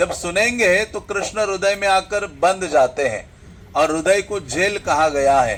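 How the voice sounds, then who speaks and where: Loud speech with ordinary pitch variation comes over noticeable background noise. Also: man, high pitch for a man. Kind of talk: religious discourse.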